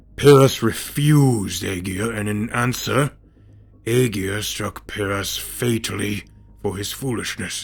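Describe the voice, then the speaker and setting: A man puts on a raspy character voice with a fairly low pitch. He speaks at a fairly slow pace over faint music in the background. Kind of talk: fantasy myth storytelling. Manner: theatrical, measured storytelling.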